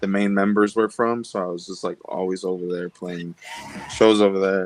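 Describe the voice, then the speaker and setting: The delivery is monotone and flat, at a moderate pace. The sound is dry and close, with no echo. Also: man. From Los Angeles area, Mexican-American neighborhood. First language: Spanish. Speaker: musician. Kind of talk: casual interview.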